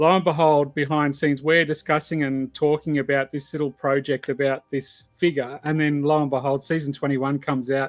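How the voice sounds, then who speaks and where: With hardly any pauses, a man with an Australian accent talks at a fairly quick pace and a fairly high pitch in monotone, flat intonation, the sound dry and close with no echo. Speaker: podcast host. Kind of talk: casual chat.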